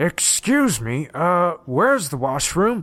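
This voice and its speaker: Putting on a character voice, a man speaks fairly slowly at a high pitch with very wide pitch swings, on a very clean recording with a silent background. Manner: mocking.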